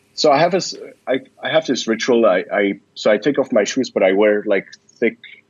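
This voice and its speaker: At a fairly quick pace, a man talks with a Swiss German accent. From Switzerland. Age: 20s. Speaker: startup founder and investor. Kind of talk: podcast interview.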